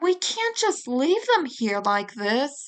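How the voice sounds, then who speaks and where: Using a put-on character voice, a woman talks at a very slow pace and high pitch with very wide pitch swings. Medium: read story.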